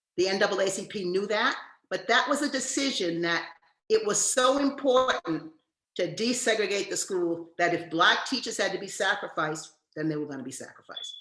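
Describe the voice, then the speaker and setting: Audible room echo surrounds a woman with an American accent. She talks fairly quickly at a medium pitch with lively intonation. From US Northeast (Massachusetts and New York). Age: 70s. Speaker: education professor. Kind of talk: lecture.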